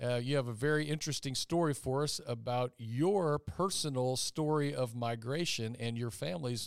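In a very clean recording with a silent background, a man with a Southern US accent speaks at a moderate pace in a medium pitch with ordinary pitch variation. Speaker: high school teacher hosting a student podcast. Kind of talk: casual interview.

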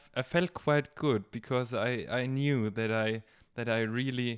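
With a German accent, a man talks at a moderate pace and medium pitch, his intonation fairly even. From Germany, Bavaria. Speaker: gap-year volunteer and garden helper. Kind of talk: casual chat. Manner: halting.

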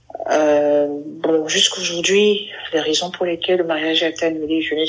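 A woman's very deep, low voice at a fairly slow pace, monotone and flat, with noticeable background noise. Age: 30s. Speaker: LGBT community member sharing her story. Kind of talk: interview testimony.

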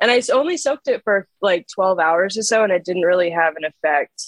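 A woman talks fairly quickly in a normal speaking voice of medium pitch with lively intonation, recorded dry and close with no echo. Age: 20s. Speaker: film photographer and artist. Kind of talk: casual chat.

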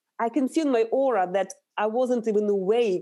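On a very clean recording with a silent background, a woman with a Russian accent speaks at a moderate pace, her fairly high pitch and dark, mellow tone carrying lively intonation. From Russia, Urals. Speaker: nutritional therapist. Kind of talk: interview.

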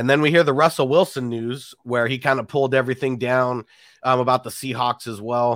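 A man with a plain, everyday voice and medium pitch talks at a fairly quick pace with fairly even intonation, the sound dry and close with no echo. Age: 30s. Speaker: fantasy football YouTuber, host. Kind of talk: casual chat, interview. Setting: video call.

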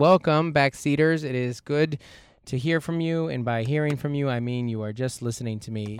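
At a moderate pace and medium pitch, a man talks in a plain, everyday voice, with ordinary pitch variation. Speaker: podcast host, stand-up comedian. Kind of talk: casual chat. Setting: in a minivan used as studio.

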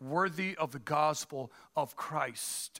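In a Spanish accent, someone speaks at a very slow pace with ordinary pitch variation in a very clean recording with a silent background. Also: man. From Dominican Republic. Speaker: pastor. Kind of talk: sermon. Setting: church. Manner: halting, frequent fillers.

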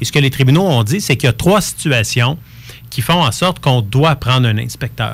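This voice has vocal fry and lively intonation. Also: man. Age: 40s. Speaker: real estate lawyer. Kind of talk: radio interview.

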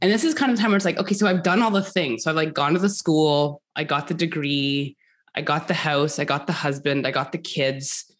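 A woman with a Canadian accent, very deep and low in pitch, at a fairly quick pace, with ordinary pitch variation and very even loudness. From Canada, rural. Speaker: entrepreneur and mother. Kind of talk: casual interview chat.

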